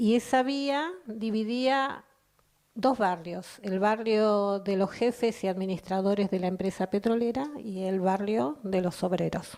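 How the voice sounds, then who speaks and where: A woman speaks in a normal speaking voice at a medium pitch with ordinary pitch variation. Her pace is fairly slow. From Argentina, Chubut (Comodoro Rivadavia area). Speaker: poet. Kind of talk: personal testimony.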